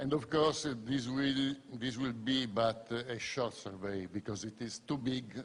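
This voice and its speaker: The speaker has an Italian accent. The pace is fairly slow, the intonation fairly even. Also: man. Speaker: scientist and lecturer. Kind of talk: conference talk.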